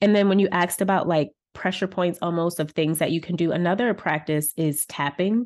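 Here is an unremarkable speaking voice from a woman, fairly low-pitched and fairly quick in pace. Her intonation is fairly even, with a quiet background. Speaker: wellness coach and author. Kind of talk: interview conversation.

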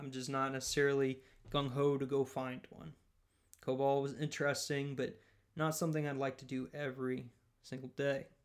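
A man with a Southern US accent, fairly high-pitched, monotone and flat, at a moderate pace with big swings in loudness. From rural US Southeast (Louisiana area). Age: 20s. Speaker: podcast host, software developer. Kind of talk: solo monologue podcast.

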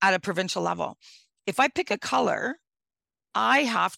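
In a very clean recording with a silent background and a dry, close sound with no echo, a woman with a Northern Ontario accent speaks in a bright, sharp tone with vocal fry. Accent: Northern Ontario Canadian. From Northwestern Ontario, Canada. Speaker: mayor. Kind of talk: interview. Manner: animated.

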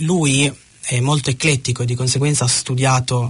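At a moderate pace, a man with a medium-pitched, somewhat breathy voice speaks with fairly even intonation. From Piedmont, Italy (Ivrea). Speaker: Italian expat. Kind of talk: radio interview. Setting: studio.

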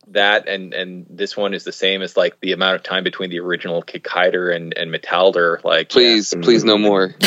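Speaking in a normal speaking voice, a man talks fairly quickly at a fairly low pitch with hardly any pauses. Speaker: guest, wrote essay for a box set. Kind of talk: casual podcast discussion.

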